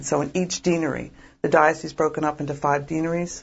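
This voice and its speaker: A woman speaks with a very deep, low pitch, vocal fry and a slight Philadelphia accent. Her intonation is monotone and flat, and the recording is very clean with a silent background. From Philadelphia, US. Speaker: diocesan pro-life director. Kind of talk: interview.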